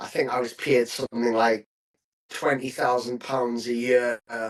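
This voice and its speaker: This voice has a northeast English accent and monotone, flat intonation. It moves at a fairly slow pace. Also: man, medium pitch for a man. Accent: north-east English. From northern England, County Durham. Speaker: property agency founder. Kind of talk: podcast interview. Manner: hesitant fillers.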